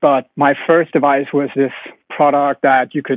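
With a Danish accent, a man speaks in a fairly high voice. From Denmark. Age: 20s. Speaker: company founder. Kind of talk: interview.

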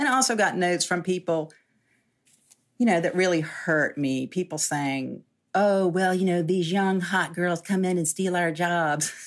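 A woman at a fairly low pitch and a moderate pace, with ordinary pitch variation, very even loudness, and a very clean recording with a silent background. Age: 60s. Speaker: journalist and food writer. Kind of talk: interview conversation. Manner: halting.

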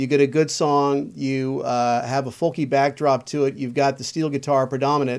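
A man speaks at a moderate pace in a fairly high, monotone, flat voice with hardly any pauses. The recording is very clean, with a silent background. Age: 50s. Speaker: local politician and former radio DJ. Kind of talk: casual chat.

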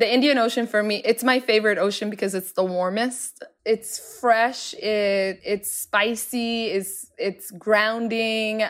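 Speaking with an American accent, a woman uses a fairly high, flat monotone. She goes at a fairly slow pace with hardly any pauses. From Somalia, raised largely in US (Seattle). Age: 30s. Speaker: entrepreneur and cookbook author. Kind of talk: interview conversation.

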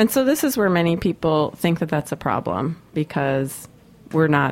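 A woman is speaking. She keeps a moderate pace. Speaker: radio host. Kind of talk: radio interview. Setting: studio. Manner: loud.

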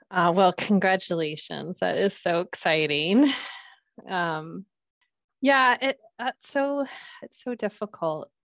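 Speaking at a very slow pace with long, frequent pauses, a woman with an American accent and a medium pitch shows very wide pitch swings and big swings in loudness, recorded dry and close with no echo against a quiet background. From US Pacific Northwest, Seattle. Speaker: pediatrician. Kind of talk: interview. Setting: video call.

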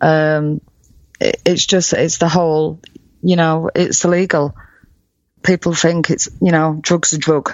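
A woman speaks with a northern English accent in a fairly low, monotone, flat voice at very even loudness. Her pace is fairly slow, with long, frequent pauses. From UK. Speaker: cancer survivor. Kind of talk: interview testimony. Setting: remote call. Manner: halting.

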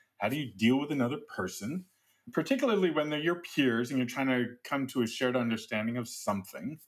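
A man with an ordinary speaking voice talks fairly quickly at a medium pitch. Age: 50s. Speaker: technical advisor and technologist. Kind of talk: interview conversation.

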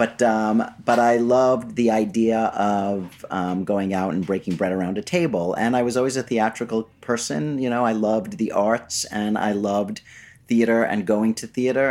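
A man with an ordinary speaking voice speaks at a fairly low pitch and a moderate pace. His pitch varies in an ordinary way, and the recording is very clean with a silent background. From New York City (Flushing, Queens). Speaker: PR agency founder. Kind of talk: casual interview. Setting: studio.

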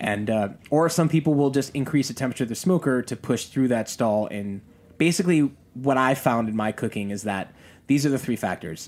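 An unremarkable speaking voice with lively intonation moves at a fairly quick pace on a very clean recording with a silent background. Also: man, medium pitch for a man. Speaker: pitmaster. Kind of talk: casual chat.

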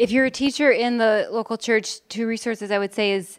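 A woman with an American accent talks in an ordinary speaking voice at a fairly quick pace, with fairly even intonation and a dry, close sound with no echo. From Chicago, Illinois. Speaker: church planter, women's ministry leader. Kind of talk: conference panel discussion.

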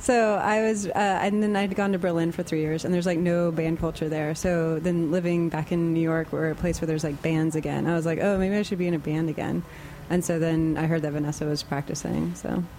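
A normal speaking voice from a woman with an American accent, fairly low in pitch, at a fairly quick pace with fairly even intonation and very even loudness. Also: hardly any pauses. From Austin, Texas. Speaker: musician in a band. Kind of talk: casual interview. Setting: studio.

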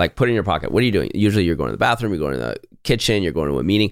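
A man speaks on a very clean recording with a silent background. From North America and Europe, mixed. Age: 40s. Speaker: tech company co-founder and executive. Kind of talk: interview. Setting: studio.

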